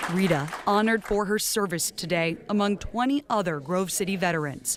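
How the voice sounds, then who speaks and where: With noticeable background noise behind her, a woman speaks at a moderate pace and medium pitch, her intonation lively and her loudness very even. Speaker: TV news reporter. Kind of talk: TV news report narration.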